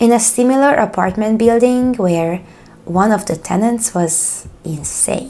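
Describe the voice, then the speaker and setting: With music in the background, a woman with a Hungarian accent speaks at a fairly slow pace with lively intonation. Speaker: true crime YouTuber. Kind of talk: horror story reading.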